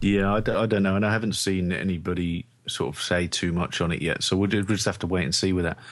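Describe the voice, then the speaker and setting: In a London accent, this voice moves at a very fast pace with hardly any pauses and very even loudness. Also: man, very deep, low pitch for a man. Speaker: sports podcast co-host. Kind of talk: casual chat.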